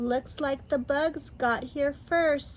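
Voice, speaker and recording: A woman puts on a character voice, pitched high, over clear background noise. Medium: read story. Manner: curious, cheerful.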